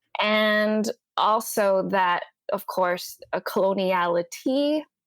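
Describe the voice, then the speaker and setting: Speaking at a very slow pace with a Cantonese accent, a woman uses a fairly high pitch and ordinary pitch variation in a dry, close sound with no echo. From Hong Kong, moved to Canada at eight. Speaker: therapist. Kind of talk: podcast interview.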